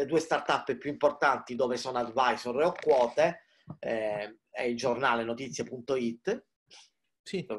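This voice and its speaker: In a normal speaking voice, a man talks at a fairly slow pace and a medium pitch with ordinary pitch variation. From Palermo, Sicily. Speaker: digital marketing expert and startup mentor. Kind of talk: casual interview chat. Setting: video call from home. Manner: informal, chatty, jokes.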